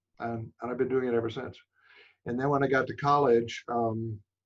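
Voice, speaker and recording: At a moderate pace, a man talks in a monotone, flat way at a medium pitch. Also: long, frequent pauses. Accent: American. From New York City. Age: 70s. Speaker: photographer. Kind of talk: interview. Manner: halting, many fillers.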